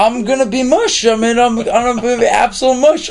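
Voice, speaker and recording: A man with an American accent speaks at an extremely high pitch. Noticeable background noise is present. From Tucson, Arizona. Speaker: composer and musician. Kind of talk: casual interview.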